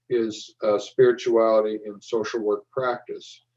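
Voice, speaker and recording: A man's dark, mellow tone with an American accent and ordinary pitch variation. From US West, eastern Oregon. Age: 70s. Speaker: professor. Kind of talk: lecture.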